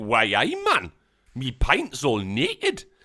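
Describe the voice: A put-on character voice in a Geordie accent, raspy and low-to-middle in pitch, at a fairly slow pace. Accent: Geordie, from Newcastle.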